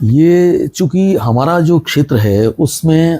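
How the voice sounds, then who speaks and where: A man talks with a Punjabi accent. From Rajasthan, India. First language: Punjabi (speaking Hindi). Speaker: retired radio broadcaster. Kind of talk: interview.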